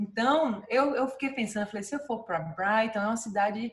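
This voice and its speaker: This woman's pitch sits fairly high, with ordinary variation. Her voice has a somewhat breathy quality. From Brazil, Salvador, Bahia. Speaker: dentist and clinic owner. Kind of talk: interview. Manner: many fillers and hesitations.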